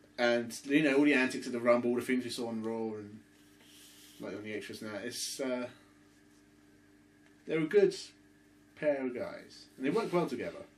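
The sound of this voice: A man's medium-pitched voice at a moderate pace, with lively intonation, long and frequent pauses, and audible room echo.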